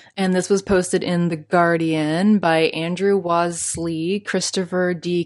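The speaker has a Canadian accent and an animated tone. The background is quiet. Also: woman. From Canada. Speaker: podcast host. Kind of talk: solo podcast monologue, casual. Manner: animated, chatty, laughs often.

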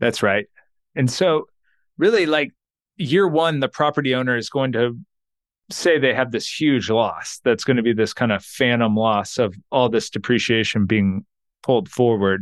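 In an American accent, a man with an unremarkable speaking voice talks at a moderate pace and medium pitch, with lively intonation and very even loudness, against a quiet background with a dry, close sound and no echo. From Texas. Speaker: accountant and financial planner. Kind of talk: interview.

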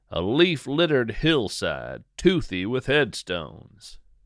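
Speaking at a fairly slow pace, a man shows vocal fry and very wide pitch swings. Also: very clean recording, silent background. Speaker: nature storyteller podcaster. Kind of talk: spoken-word nature fiction. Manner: lyrical, hushed and measured; dreamy, slow, atmospheric.

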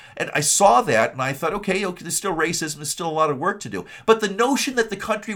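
Speaking with an Upper Midwest accent, a man talks. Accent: Upper Midwest American. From Michigan (Kalamazoo). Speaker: political podcast host. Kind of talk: political commentary monologue. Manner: halting, many repetitions and fillers.

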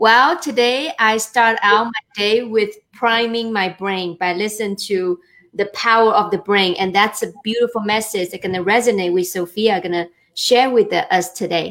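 This is an ordinary speaking voice at a moderate pace. The pitch variation is ordinary. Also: woman, fairly high pitch for a woman. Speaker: co-host. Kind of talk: interview.

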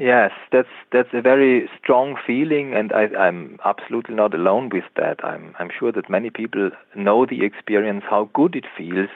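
A man with an Austrian accent, fairly slow in pace, with ordinary pitch variation. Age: 30s. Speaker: biologist and author. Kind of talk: interview. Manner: halting.

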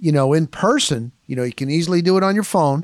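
A man's fairly high pitch, an ordinary speaking voice and ordinary pitch variation come across on a very clean recording with a silent background. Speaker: sports reporter and podcast host. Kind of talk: solo podcast narration with red carpet interviews. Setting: red carpet event interviews, then podcast recap.

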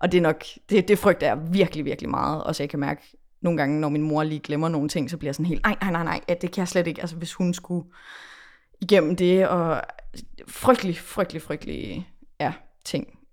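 A plain, everyday voice at a fairly quick pace, fairly even intonation, on a very clean recording with a silent background. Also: woman, fairly low pitch for a woman. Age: 20s. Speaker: pop musician. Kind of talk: casual chat.

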